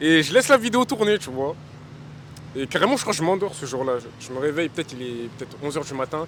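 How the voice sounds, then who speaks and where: Amid noticeable background noise, a man talks very fast in a fairly high pitch, with very wide pitch swings and big swings in loudness. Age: young. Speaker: rapper. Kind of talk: casual interview. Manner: casual, filler-heavy.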